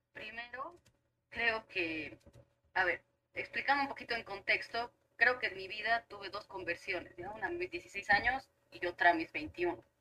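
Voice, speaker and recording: A plain, everyday voice at a fairly slow pace, with ordinary pitch variation and big swings in loudness. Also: woman, medium pitch for a woman. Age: 30s. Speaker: teacher. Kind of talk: casual chat.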